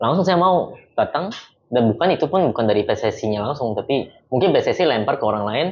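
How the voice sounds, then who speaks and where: Very fast and somewhat breathy, a man speaks at a fairly high pitch with very wide pitch swings. His loudness stays very even. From South Korea, moved to Indonesia at about 15. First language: Korean (speaking Indonesian). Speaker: football team interpreter. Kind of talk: casual interview chat.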